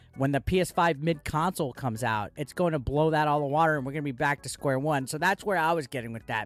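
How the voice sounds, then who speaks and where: Over background music, a man talks at a very fast pace in an animated, excited tone, his pitch fairly high with ordinary variation. The sound is dry and close, with no echo. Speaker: gaming YouTuber. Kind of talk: casual video commentary.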